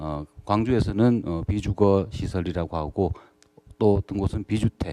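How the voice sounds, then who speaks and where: A man's dark, mellow voice moves at a fairly slow pace with lively intonation. The sound is dry and close, with no echo. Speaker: social welfare counseling center director. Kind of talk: panel discussion talk. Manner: halting, many fillers.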